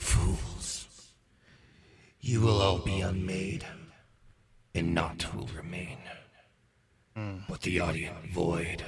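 Growling in a put-on character voice, a man speaks at a very deep, low pitch and a very slow pace, with long, frequent pauses. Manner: ominous, menacing.

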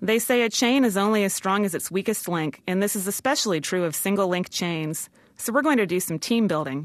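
A woman talks at a fairly quick pace with medium pitch, lively intonation and a plain, everyday voice. The background is quiet. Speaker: freelance writer. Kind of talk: comedic monologue mocking a corporate pep talk. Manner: mock-formal, brisk managerial tone.

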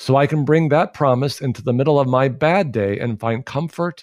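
On a very clean recording with a silent background, an ordinary speaking voice talks at a moderate pace with ordinary pitch variation. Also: man. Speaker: pastor. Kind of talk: interview on faith and mental health.

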